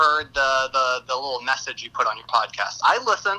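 A man speaks in a raised, projected voice at a fairly quick pace. Background noise is noticeable. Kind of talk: casual chat. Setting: phone call. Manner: energetic.

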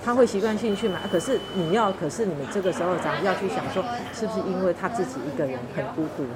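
Crowd noise fills the background as the speaker races along at a very fast pace. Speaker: pharmacist. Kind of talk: interview. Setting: convenience store.

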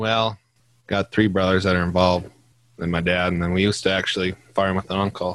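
A man with a Minnesota accent speaks at a very fast pace in a very deep, low voice. The sound is dry and close, with no echo. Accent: Upper Midwest (Minnesota). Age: 20s. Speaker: farmer. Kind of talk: casual chat.

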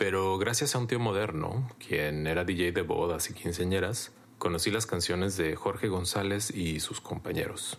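Against audible room echo, a man with a very deep, low voice speaks at a fairly slow pace with hardly any pauses and ordinary pitch variation. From Mexico, rural Jalisco. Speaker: writer and DJ. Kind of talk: personal testimony.

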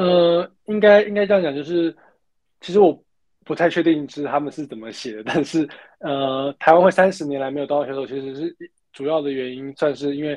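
In a plain, everyday voice, a fairly high-pitched man talks at a fairly quick pace with ordinary pitch variation and big swings in loudness. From Taiwan. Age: 20s. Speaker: alpine skier. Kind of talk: interview.

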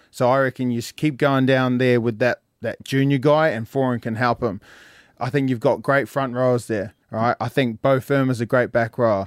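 A man with an Australian accent and fairly even intonation, in a very clean recording with a silent background and a dry, close sound with no echo. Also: medium pitch for a man, moderate pace. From Brisbane, Australia. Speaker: rugby league analyst. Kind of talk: casual radio chat. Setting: radio studio.

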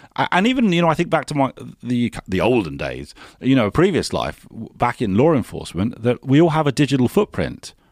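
A man with a British accent talks at a very fast pace in an enthusiastic tone, his medium pitch making very wide swings. The sound is dry and close with no echo, on a very clean recording with a silent background. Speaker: podcast host. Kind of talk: interview.

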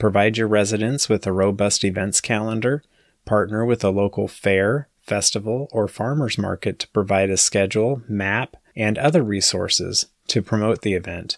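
A man with a fairly low pitch, an unremarkable speaking voice, fairly even intonation and a moderate pace, in a very clean recording with a silent background and a dry, close sound with no echo. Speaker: podcast host. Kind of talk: scripted intro and interview.

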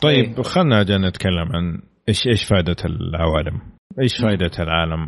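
A man talks at a moderate pace in a very deep, low voice. His intonation is lively. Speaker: podcast host and film reviewer. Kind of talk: casual chat. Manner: animated.

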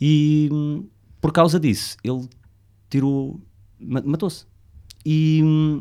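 A man with a European Portuguese accent and a dark, mellow tone speaks at a very slow pace with fairly even intonation and long, frequent pauses. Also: fairly high pitch for a man. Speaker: podcast co-host. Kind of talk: casual chat.

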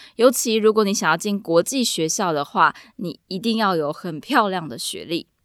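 A woman with an ordinary speaking voice talks at a moderate pace and a medium pitch, with hardly any pauses. Her intonation is lively and her loudness swings widely. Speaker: podcast host and Mandarin teacher. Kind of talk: solo podcast monologue.

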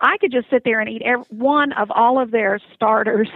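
A woman with fairly even intonation and an unremarkable speaking voice. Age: 60s. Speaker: cruise reviewer. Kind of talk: casual interview. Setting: phone call.

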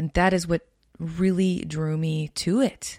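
The woman's voice is somewhat breathy. The recording sounds dry and close, without any echo. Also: very clean recording, silent background. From Canada, Winnipeg, Manitoba. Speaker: singer-songwriter and guitarist. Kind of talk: casual interview chat.

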